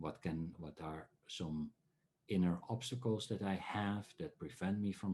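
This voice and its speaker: A man with a Dutch accent and a dark, mellow tone, at a fairly slow pace, over a quiet background. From Netherlands. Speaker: dream researcher and workshop speaker. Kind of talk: online talk. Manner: halting, many filler sounds.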